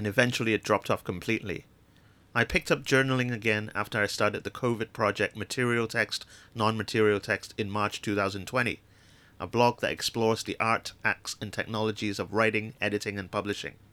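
A man's voice, medium in pitch, has a bright, sharp tone and fairly even intonation at a fairly quick pace. The recording is very clean with a silent background, dry and close with no echo. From Hong Kong. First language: Chinese. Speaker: podcast host and communication designer. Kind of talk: reading aloud of own essay.

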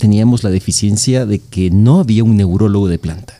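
The man's voice has a dark, mellow tone. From El Salvador. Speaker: neurologist. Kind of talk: medical podcast interview.

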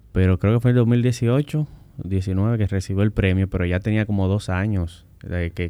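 This man talks at a moderate pace with a very deep, low pitch, a dark, mellow tone and fairly even intonation. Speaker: civil engineer and road safety expert. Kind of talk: interview.

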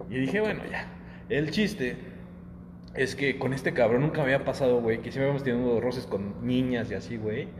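A man talks at a fairly quick pace with lively intonation and medium pitch. Audible room echo and noticeable background noise surround his voice. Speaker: podcast co-host. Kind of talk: casual chat.

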